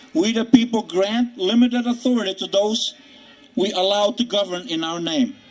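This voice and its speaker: There is noticeable background noise as a man speaks at a moderate pace. His pitch is high, with ordinary pitch variation. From communist country in Europe, moved to US as child. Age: 60s. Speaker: political activist speaker. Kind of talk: rally speech. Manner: impassioned, rhetorical.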